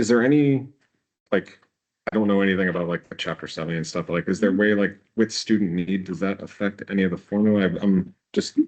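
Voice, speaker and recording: Mumbling at a very fast pace, a man speaks in a fairly low voice. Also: ordinary pitch variation. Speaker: board member. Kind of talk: question at public meeting. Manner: halting.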